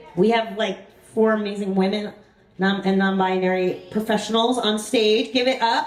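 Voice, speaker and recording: A woman with a fairly high pitch speaks at a moderate pace with fairly even intonation and very even loudness, amid noticeable background noise and audible room echo. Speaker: event organizer and musician. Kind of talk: live event hosting. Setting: stage with audience.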